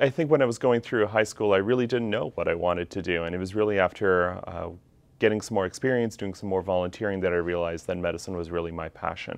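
A man speaks at a very fast pace in a very deep, low voice with ordinary pitch variation. He has a Canadian accent. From Canada, Calgary, Alberta. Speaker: physician. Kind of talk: self-introduction video. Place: classroom. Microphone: lapel.

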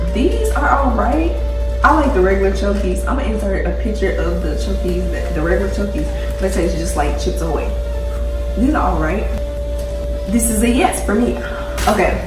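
A woman talks at a moderate pace, with long, frequent pauses. Clear music plays in the background, and the room echo is audible. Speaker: vlogger. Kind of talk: casual vlog chat, snack taste test. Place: home room. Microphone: phone near.

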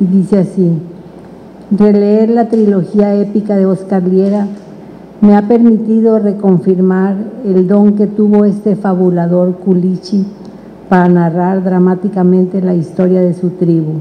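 Over light background noise, a woman speaks at a fairly slow pace in a monotone, flat intonation, her loudness very even and her long pauses frequent. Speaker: panelist. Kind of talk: reading a prepared text aloud. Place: hall. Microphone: handheld.

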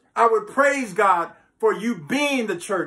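With lively intonation, a man speaks at a high pitch in a bright, sharp tone that has a slightly husky edge.

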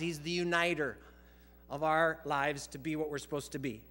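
At a moderate pace, a man speaks with a bright, sharp tone and ordinary pitch variation. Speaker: pastor. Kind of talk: sermon. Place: church. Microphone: headset.

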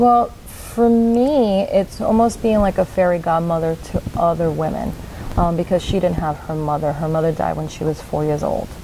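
A woman with an American accent talks at a fairly quick pace, with long, frequent pauses. Her pitch is fairly low with ordinary variation, and light background noise is present. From New York. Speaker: nonprofit founder. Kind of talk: interview. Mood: warm, earnest. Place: studio.

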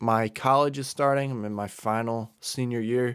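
With fairly even intonation, a man talks over a quiet background. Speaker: college student YouTuber. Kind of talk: casual vlog chat. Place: home room. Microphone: studio mic.

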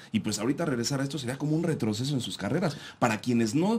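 The recording is very clean, and the background is silent. A man speaks very fast, his intonation lively. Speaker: radio co-host. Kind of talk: casual radio talk show.

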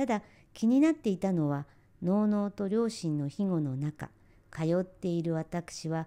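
A woman with a dark, mellow tone and medium pitch lets her pitch swing very widely. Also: quiet background. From Japan, rural area near Tokyo. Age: 60s. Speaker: kimono dressing instructor. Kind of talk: scripted narration. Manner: formal.

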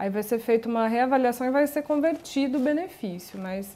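The woman's pace is moderate. Her pitch sits high. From Brazil. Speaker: social worker; guest. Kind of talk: TV talk show interview. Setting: studio. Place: studio. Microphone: lapel.

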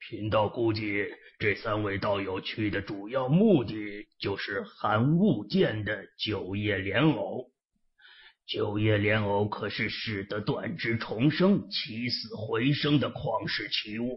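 A man speaks at a fairly slow pace. His pitch is medium. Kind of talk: classical wuxia formal speech. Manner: deferential, formal, cautious.

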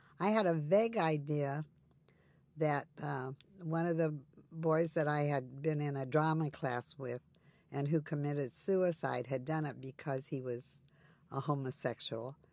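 A woman speaks at a fairly slow pace, her pitch very deep and low. Her pitch varies in an ordinary way. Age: 80s. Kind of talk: personal interview conversation. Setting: interview recording session.

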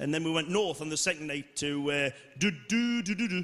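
Bright and sharp in tone, a man with a Geordie accent speaks at a fairly quick pace with lively intonation. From Newcastle, North East England. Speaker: stand-up comedian. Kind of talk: live stand-up comedy set. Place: stage. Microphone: handheld.

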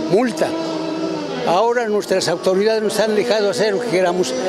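Loud music plays behind a man whose voice sounds dry, with no echo. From Puebla, Mexico. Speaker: activist and army veteran. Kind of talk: interview answer. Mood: earnest, cheerful, reflective. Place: street. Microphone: handheld.

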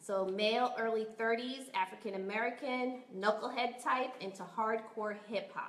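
A woman speaks at a fairly slow pace with fairly even intonation. There is audible room echo. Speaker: production crew member presenting casting news. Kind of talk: casting announcements, casual. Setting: studio, live-streamed. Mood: upbeat, friendly. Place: home room. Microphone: webcam.

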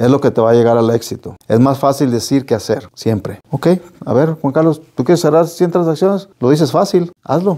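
Lively intonation and a dark, mellow tone at a moderate pace against a quiet background. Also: man, fairly high pitch for a man. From Las Vegas, Nevada (Mexican-born, arrived age 5). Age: 50s. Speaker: real estate broker and business owner; guest. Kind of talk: interview. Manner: hesitant, many fillers. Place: studio. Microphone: lapel.

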